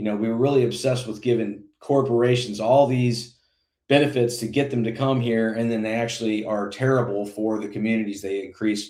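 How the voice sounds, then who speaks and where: This man has an American accent and a medium pitch with a dark, mellow tone. He talks at a fairly quick pace with fairly even intonation. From Indiana. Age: 40s. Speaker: congressional candidate. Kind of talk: interview. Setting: live broadcast.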